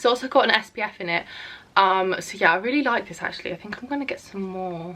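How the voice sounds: A woman talks at a fast pace in a bright, sharp tone with ordinary pitch variation. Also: medium pitch for a woman.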